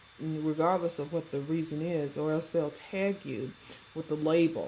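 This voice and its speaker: The speaker is a woman with a very deep, low pitch. She talks at a moderate pace. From US South, Mississippi Delta. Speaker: vlogger, holistic health entrepreneur. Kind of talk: personal vlog monologue. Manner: halting, many fillers.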